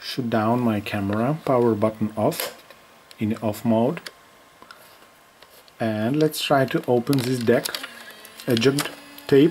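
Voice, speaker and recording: In a non-native accent, the speaker goes at a very slow pace with long, frequent pauses against noticeable background noise. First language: not English. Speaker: vintage camera YouTuber. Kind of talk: product demo video. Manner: halting, repetitive; animated, excited exclamations.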